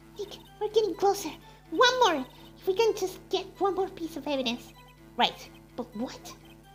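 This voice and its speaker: A woman's extremely high put-on character voice at a moderate pace, with long, frequent pauses and clear music in the background. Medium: game stream.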